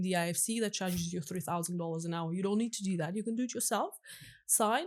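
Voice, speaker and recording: A woman with a non-native accent speaks at a very fast pace with ordinary pitch variation. The recording is very clean, with a silent background. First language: not English. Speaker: crypto lawyer. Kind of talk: podcast interview.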